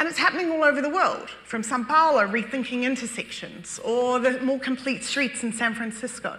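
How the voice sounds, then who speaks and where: A woman with a New Zealand accent over noticeable background noise. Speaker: urban design expert. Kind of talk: public talk presentation.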